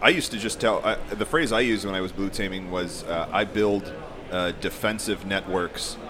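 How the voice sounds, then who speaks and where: With an American accent, a man speaks at a moderate pace in a fairly low pitch, using ordinary pitch variation over noticeable background noise. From Colorado. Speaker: information security professional. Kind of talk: casual chat.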